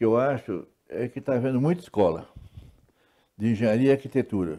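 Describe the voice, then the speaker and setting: This man's voice has a dark, mellow tone. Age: 70s. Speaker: retired civil engineer. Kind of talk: interview talk show. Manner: halting with repetitions.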